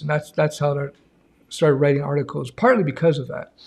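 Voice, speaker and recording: This man's voice is fairly high, somewhat breathy and dark and mellow in tone, with fairly even intonation. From Canada. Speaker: YouTube programming educator; coding instructor. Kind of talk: live stream Q&A. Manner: casual, chatty. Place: home room. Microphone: audio reported good by viewers.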